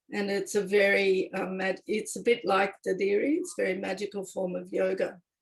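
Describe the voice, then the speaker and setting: A woman with an Australian accent at a fairly quick pace, with hardly any pauses. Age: 60s. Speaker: circle participant, former public servant. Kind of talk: personal sharing in a listening circle. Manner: halting, with restarts.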